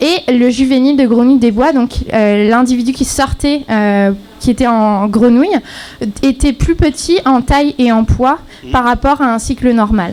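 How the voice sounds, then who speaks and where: A woman speaks at a fairly slow pace in a high pitch. Noticeable background noise runs behind her. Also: ordinary pitch variation. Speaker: graduate student presenting thesis. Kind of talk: timed thesis presentation. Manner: halting, many fillers; too quiet.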